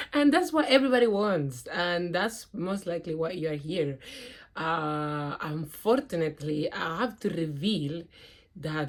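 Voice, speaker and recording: Speaking with a non-native accent, a woman talks at a fairly slow pace with lively intonation on a very clean recording with a silent background. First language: not English. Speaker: spiritual vlogger. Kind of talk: personal testimony. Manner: hesitant, with fillers and restarts.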